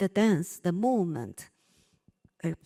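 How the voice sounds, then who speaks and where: A woman's fairly low voice, dark and mellow in tone, with ordinary pitch variation and a dry, close sound with no echo. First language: Chinese. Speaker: dance company artistic director. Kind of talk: panel discussion. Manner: halting.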